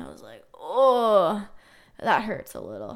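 A woman with a Canadian accent, fairly high in pitch, at a fairly slow pace, animated in tone, with ordinary pitch variation. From Ontario, Canada. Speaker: podcast host. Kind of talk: casual solo chat.

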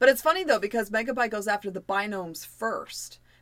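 Speech at a fairly quick pace comes in a plain, everyday voice, with ordinary pitch variation. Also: woman. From US. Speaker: podcast co-host. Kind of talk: casual chat.

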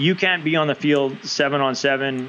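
Through noticeable background noise, a man with a Canadian accent talks at a moderate pace and medium pitch, with ordinary pitch variation. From Canada, West Coast (British Columbia). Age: 40s. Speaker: rugby coach, former national sevens player. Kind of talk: casual interview.

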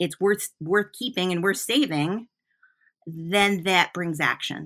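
A woman talks at a moderate pace in a bright, sharp, animated and enthusiastic tone with ordinary pitch variation, recorded very cleanly against a silent background. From US Midwest, Flint, Michigan. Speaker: artist and art teacher. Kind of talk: casual interview conversation. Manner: animated, enthusiastic.

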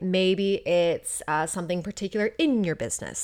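In an American accent, the speaker talks at a moderate pace with an animated tone, on a very clean recording with a silent background. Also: woman. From United States. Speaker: podcast host and life coach. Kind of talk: solo podcast monologue.

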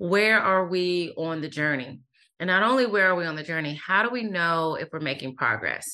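A woman with a fairly low pitch speaks in a bright, sharp tone with lively intonation over a quiet background. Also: moderate pace. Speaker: author and workplace diversity expert. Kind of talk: interview. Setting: remote call. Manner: soothing.

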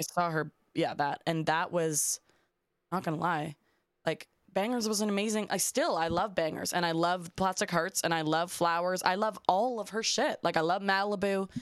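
A woman with a Canadian accent uses a normal speaking voice at a moderate pace, her fairly low pitch showing ordinary pitch variation, on a very clean recording with a silent background and a dry, close sound with no echo. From Canada, Toronto. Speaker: singer-songwriter. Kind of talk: casual chat.

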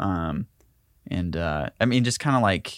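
A man speaks with a Southern US accent at a fairly low pitch. The recording is very clean, with a silent background. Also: dry, close sound with no echo. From US South, Tennessee/Georgia line near Chattanooga. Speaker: filmmaker. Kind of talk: casual interview.

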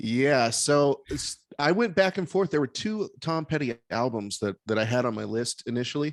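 With a plain, everyday voice, a man talks at a moderate pace in a fairly high pitch, his intonation lively and his speech hardly pausing, recorded with a dry, close sound with no echo against a quiet background. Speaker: podcast host. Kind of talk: casual chat. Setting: video call.

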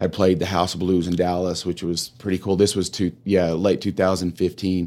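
On a very clean recording with a silent background, a man with a West Texas accent and a very deep, low pitch speaks at a moderate pace in a monotone, flat intonation. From Texas Panhandle. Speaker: chiropractor and homeless charity director. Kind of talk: casual interview.

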